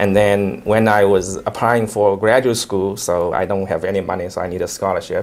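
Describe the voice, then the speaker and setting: Over noticeable background noise, a man with a Chinese accent talks at a moderate pace with hardly any pauses. His fairly low pitch stays monotone and flat. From China. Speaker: investment manager, company founder. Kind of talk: interview. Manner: hesitant, frequent fillers.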